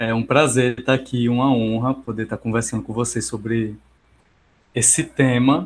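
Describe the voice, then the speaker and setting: Monotone and flat in intonation, a man speaks at a fairly slow pace. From Brazil, Paraíba (João Pessoa). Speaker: psychologist. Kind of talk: online lecture. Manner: hesitant, many fillers.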